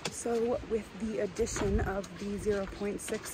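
Noticeable background noise is present. The sound itself is dry, with no echo. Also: woman. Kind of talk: casual vlog chat. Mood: upbeat, cheerful. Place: forest. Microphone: phone near.

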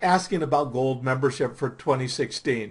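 Somewhat breathy speech from a man, its pitch moving in an ordinary way. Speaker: professional Santa Claus and Santa trainer. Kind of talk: casual talk to camera, membership promotion. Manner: casual, hesitant with fillers. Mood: warm, friendly, helpful. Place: home room. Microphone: webcam.

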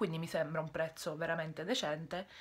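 This woman's voice has a fairly low pitch and is somewhat breathy. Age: 20s. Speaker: YouTuber / vlogger; vlogger. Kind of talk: casual monologue vlog. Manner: halting, mild stutter; frequent pauses searching for words. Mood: frustrated venting at times. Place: home room. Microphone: phone near.

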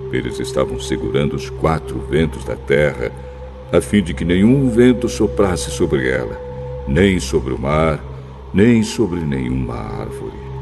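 A man speaks in a very deep, low pitch with ordinary pitch variation. His pace is fairly slow, and music plays in the background. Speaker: announcer. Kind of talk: Bible audiobook reading. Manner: engaging storytelling.

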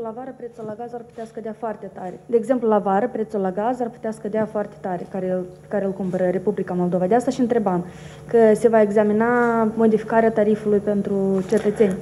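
A woman's fairly high, dark and mellow voice at a very fast pace, flat and monotone in intonation, with big swings in loudness over light background noise. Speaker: journalist. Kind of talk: press conference questions. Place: meeting room.

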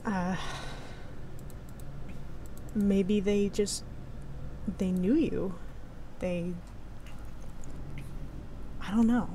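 The speech comes at a very slow pace, with long, frequent pauses. Intonation stays fairly even. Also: woman, medium pitch for a woman.

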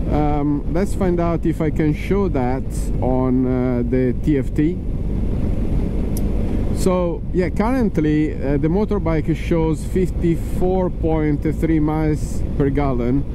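With noticeable background noise and a dry sound with no echo, the speech proceeds at a very slow pace. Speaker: motorbike rider reviewer. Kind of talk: commentary. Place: motorbike. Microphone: helmet.

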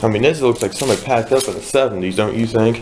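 The man talks at a fairly quick pace. There is noticeable background noise. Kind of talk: casual exploration chat. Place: empty room. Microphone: phone near.

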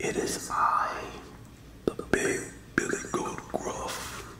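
Whispering in a hoarse, put-on character voice, a man speaks at a very slow pace.

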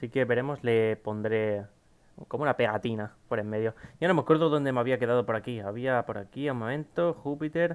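A man speaking at a fairly quick pace, pitch varying in an ordinary way. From Spain. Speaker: gaming YouTuber. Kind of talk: casual Q&A to camera. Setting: home recording at PC. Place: home room.

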